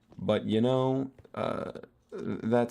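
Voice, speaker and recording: This is a man speaking. His tone is relaxed. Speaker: gaming streamer. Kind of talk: casual gameplay commentary. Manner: relaxed, low-pitched; hesitant, many fillers.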